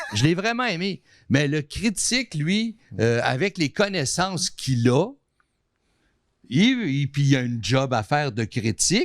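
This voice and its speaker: Recorded very cleanly against a silent background, a man with a fairly high pitch speaks at a fairly slow pace, his voice making very wide pitch swings between long, frequent pauses. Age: 60s. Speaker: artist and TV station manager. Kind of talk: casual chat.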